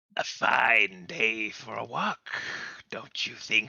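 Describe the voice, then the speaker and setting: Using a put-on character voice, a man speaks very slowly in a raspy tone at medium pitch. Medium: actual play. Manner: polite, formal, faintly eerie.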